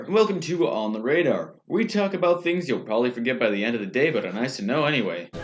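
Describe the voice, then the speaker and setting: With noticeable background noise behind him, a man of medium pitch talks at a very fast pace, making very wide pitch swings and hardly any pauses. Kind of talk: satirical newscast co-host, comedic banter.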